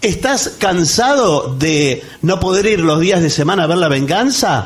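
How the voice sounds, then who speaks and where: A man with a fairly high pitch and very wide pitch swings. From Argentina. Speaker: radio co-host. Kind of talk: live comedy radio show. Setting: theatre stage with audience. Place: stage.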